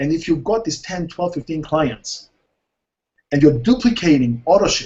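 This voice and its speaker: His intonation is lively. The speaker is a man. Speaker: network marketing trainer. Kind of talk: webinar training talk. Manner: fast.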